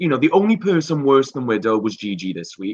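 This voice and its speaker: A very fast man with a Welsh accent and very wide pitch swings. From Wales. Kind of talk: casual chat.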